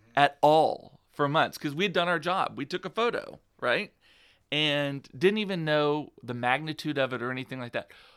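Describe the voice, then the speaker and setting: In an American accent, a man speaks at a moderate pace with lively intonation on a very clean recording with a silent background. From South Texas, Rio Grande Valley. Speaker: PR agency founder and blogger. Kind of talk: interview.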